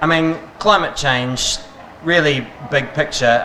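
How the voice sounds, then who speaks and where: Someone with a New Zealand accent speaks with fairly even intonation. Audible room echo and noticeable background noise surround the voice. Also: man. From New Zealand, Northland. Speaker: talk host. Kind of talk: interview.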